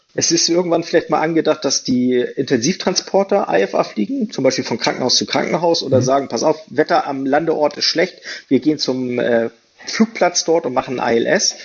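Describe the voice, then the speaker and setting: Intonation is lively and the pace is moderate. There is noticeable background noise. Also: man, fairly high pitch for a man. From Hamburg, northern Germany. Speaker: rescue helicopter pilot. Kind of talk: casual interview. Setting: video call.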